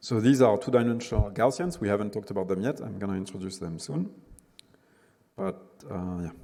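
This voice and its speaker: This man talks at a fairly quick pace in a fairly low pitch. His tone is dark and mellow, with ordinary pitch variation. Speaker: university lecturer. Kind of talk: lecture. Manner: halting.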